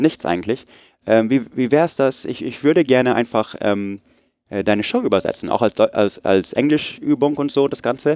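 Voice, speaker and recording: Against a quiet background, a man at medium pitch talks at a fairly slow pace with lively intonation, the sound dry and close with no echo. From Munich, Germany and US (Oregon). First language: English (speaking German). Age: 30s. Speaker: podcaster, technical writer. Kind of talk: interview. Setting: podcast festival, on-site recording.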